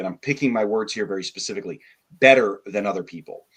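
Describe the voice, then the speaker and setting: This man has a normal speaking voice, pitched in the medium range, with ordinary pitch variation. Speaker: guest sharing testimony. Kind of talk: testimony. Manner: casual.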